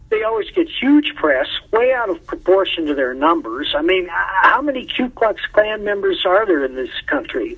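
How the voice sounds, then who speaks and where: A high-pitched man with an American accent, very wide pitch swings and a moderate pace, amid noticeable background noise. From Wisconsin, US Midwest. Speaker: comics writer. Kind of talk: interview. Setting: phone call.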